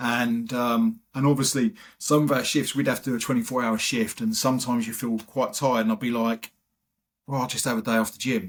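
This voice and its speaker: A man with an English accent, medium in pitch, at a fairly quick pace with fairly even intonation and big swings in loudness, on a very clean recording with a silent background. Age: 50s. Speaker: retired firefighter and bodybuilder. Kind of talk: podcast interview.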